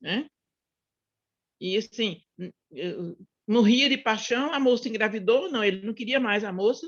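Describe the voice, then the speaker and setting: A woman speaks at a fairly slow pace, with long, frequent pauses. Her fairly high pitch carries lively intonation. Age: 60s. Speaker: book club participant. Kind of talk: casual discussion. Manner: halting.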